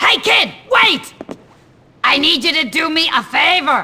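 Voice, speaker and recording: A woman does a put-on character voice, cackling at an extremely high pitch with very wide pitch swings, a fairly slow pace, and very even loudness. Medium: video game. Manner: cackling, crude.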